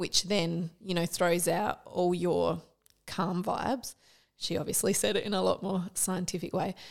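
On a very clean recording with a silent background, a woman with an Australian accent speaks at a fairly slow pace with fairly even intonation and vocal fry. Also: medium pitch for a woman. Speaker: podcast co-host. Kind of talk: casual interview chat.

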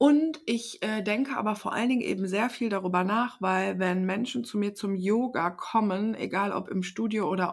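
A woman uses a normal speaking voice at a medium pitch and fairly slow pace, with ordinary pitch variation, in a very clean recording with a silent background. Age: 30s. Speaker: podcast co-host and yoga teacher. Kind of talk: casual chat.

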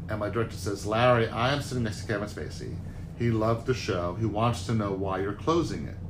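With an American accent, a somewhat breathy voice moves at a very fast pace with ordinary pitch variation and audible room echo. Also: man, fairly low pitch for a man. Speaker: Broadway producer. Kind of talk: interview.

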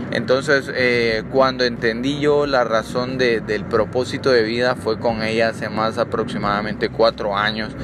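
At a fairly slow pace with hardly any pauses, the speaker keeps a fairly even intonation over noticeable background noise. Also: man, medium pitch for a man. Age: 20s. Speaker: podcast host, medical student. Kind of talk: motivational monologue.

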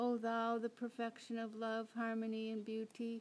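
At a fairly slow pace, a woman with a fairly high pitch speaks in a solemn, intense tone. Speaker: podcast host and spiritual service leader. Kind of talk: fervent prayer in a devotional worship service, read aloud in a solemn liturgical cadence. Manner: solemn, intense, heartfelt, imploring; casual, somewhat hesitant with frequent 'um' fillers in the intro.

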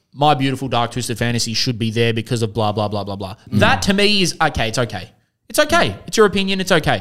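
A man speaks very fast with an Australian accent at a medium pitch. His pitch swings very widely. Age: 20s. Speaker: podcast host. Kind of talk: casual chat.

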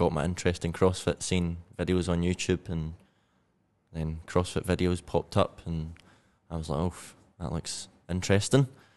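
A man speaks in a very deep, low voice with a Scottish accent. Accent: Scottish, still present. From Scotland, Glasgow. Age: 20s. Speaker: CrossFit athlete and weightlifter. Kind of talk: casual chat.

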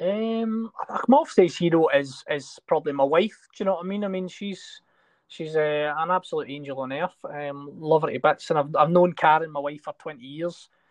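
A man with a Scottish accent speaks with ordinary pitch variation and big swings in loudness, recorded with a dry, close sound and no echo. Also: fairly high pitch for a man, moderate pace, quiet background. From Scotland. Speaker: actor. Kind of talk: interview.

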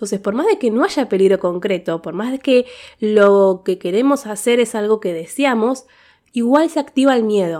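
At a moderate pace, a woman talks with a fairly high pitch and a dark, mellow tone. The recording is very clean, with a silent background. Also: lively intonation. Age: 30s. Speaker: podcaster. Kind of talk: personal monologue. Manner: hesitant, many fillers.

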